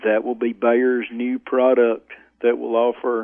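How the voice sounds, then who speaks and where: A man's flat, monotone, medium-pitched voice in an Arkansas accent, at a fairly slow pace. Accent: Southern US (Arkansas). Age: 60s. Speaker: farmer. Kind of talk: interview.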